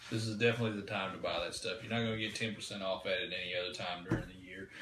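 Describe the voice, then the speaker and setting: Amid audible room echo, a man with a fairly low pitch talks at a very fast pace in a monotone, flat intonation. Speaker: diesel truck parts seller. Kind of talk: live stream Q&A.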